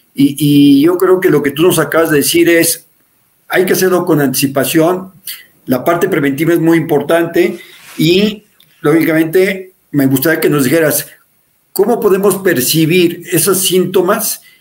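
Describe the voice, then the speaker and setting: A high-pitched male voice at a fairly slow pace, with ordinary pitch variation and very even loudness. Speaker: show host and care company director. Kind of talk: interview. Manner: halting.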